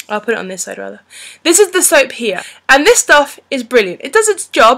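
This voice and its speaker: Her voice raised and projected, a woman speaks at a fairly quick pace with a high pitch, a bright, sharp tone and very wide pitch swings over a quiet background. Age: 30s. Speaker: beauty and fashion vlogger. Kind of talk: unscripted product review. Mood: friendly, chatty. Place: home room. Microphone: webcam.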